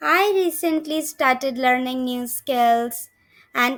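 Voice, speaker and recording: A woman speaks very slowly in a high, raised and projected voice with a bright, sharp tone. Her intonation is lively, and the recording is very clean over a silent background. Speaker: English teacher, online language tutor. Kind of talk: English lesson, shadowing practice. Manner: slow, clear, measured.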